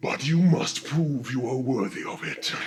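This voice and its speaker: In a put-on character voice, a man speaks at medium pitch and a moderate pace. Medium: actual play. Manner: measured, imposing.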